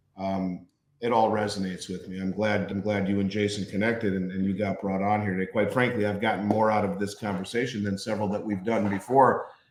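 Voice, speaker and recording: Rushing at a very fast pace with hardly any pauses, a man with an American accent speaks at a fairly low pitch in a monotone, flat intonation. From Minnesota. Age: 50s. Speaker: business owner and show co-host. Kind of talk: interview conversation.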